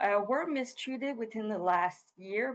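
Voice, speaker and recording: A woman with a slight Quebec accent speaks at a fairly slow pace and medium pitch, with ordinary pitch variation. The sound is dry and close with no echo. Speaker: research chairholder. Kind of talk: webinar presentation. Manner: frequent fillers.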